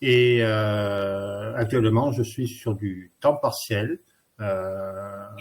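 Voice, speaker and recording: Intonation stays fairly even as the words come out at a very slow pace. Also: man, fairly low pitch for a man. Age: 60s. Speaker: worker nearing retirement. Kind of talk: testimony. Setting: online webinar.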